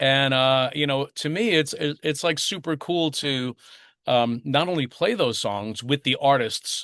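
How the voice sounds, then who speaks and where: Recorded dry and close with no echo against a quiet background, a man with an American accent talks at a fairly slow pace with fairly high pitch and ordinary pitch variation. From US Northeast, Long Island. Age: 60s. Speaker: touring bass player. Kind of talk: interview. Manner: hesitant, many fillers.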